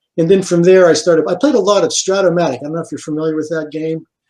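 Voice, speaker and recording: Fairly high in pitch, the man speaks with typical pitch movement. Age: 60s. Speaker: board game designer and dentist. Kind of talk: interview. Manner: hesitant, many fillers.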